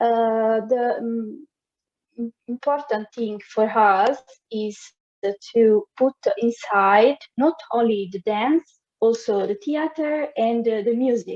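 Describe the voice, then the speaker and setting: The speech comes at a very slow pace. It carries an Italian accent. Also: woman, dry, close sound with no echo. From Italy. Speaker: dancer and arts organization founder. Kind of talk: presentation. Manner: halting, many fillers.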